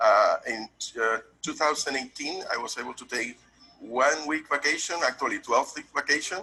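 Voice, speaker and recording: A man with a Puerto Rican accent at a moderate pace, big swings in loudness, noticeable background noise behind him. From Puerto Rico. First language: Spanish. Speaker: tax business owner, testimonial client. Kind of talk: testimonial.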